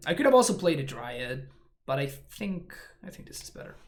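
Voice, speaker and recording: Audible room echo surrounds a man whose somewhat breathy voice carries lively intonation. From Argentina. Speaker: Magic: The Gathering streamer. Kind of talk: live gameplay commentary. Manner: fast; mumbling.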